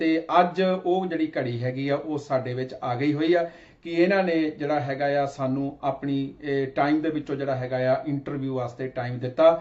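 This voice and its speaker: Over noticeable background noise, a man with a Punjabi accent talks at a fairly high pitch with fairly even intonation. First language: Punjabi (speaking Hindi). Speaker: TV interview host. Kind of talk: interview introduction. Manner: hesitant, many filler words.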